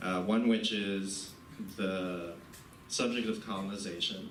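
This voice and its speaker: A man with an American accent speaks at a very deep, low pitch. His voice carries audible room echo and noticeable background noise. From US Northeast, New Jersey. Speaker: poet giving a reading. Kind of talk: literary reading presentation. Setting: college event with audience. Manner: casual, hesitant with fillers.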